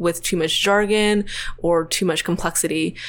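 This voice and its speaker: This is an ordinary speaking voice from a woman with an American accent, at a medium pitch. She keeps a moderate pace on a very clean recording with a silent background. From US South, Tennessee. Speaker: PhD student in computational chemistry. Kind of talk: podcast interview.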